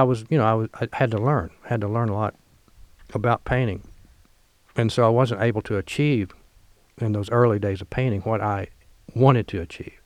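A man with an American accent at a medium pitch and moderate pace, fairly even intonation, in a dry, close sound with no echo. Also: quiet background. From Missouri bootheel, US South. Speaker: painter. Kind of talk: relaxed interview conversation about art career.

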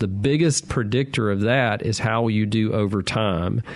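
A man at a medium pitch with a Southern US accent, over noticeable background noise. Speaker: physician radio host. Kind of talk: call-in medical advice show. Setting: studio.

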